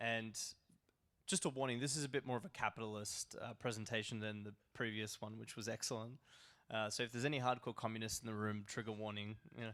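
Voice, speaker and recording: A man with an Australian accent speaks at a very fast pace, his pitch medium and intonation fairly even, on a very clean recording with a silent background. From Australia, Melbourne. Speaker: crypto broker, conference speaker. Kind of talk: conference presentation. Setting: stage with audience.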